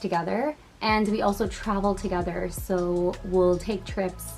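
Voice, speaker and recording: In a plain, everyday voice, a woman with an American accent speaks at a fairly slow pace, her medium pitch held in fairly even intonation. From Massachusetts, US (Boston area). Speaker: content creator. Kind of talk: casual Q&A vlog. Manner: casual, chatty.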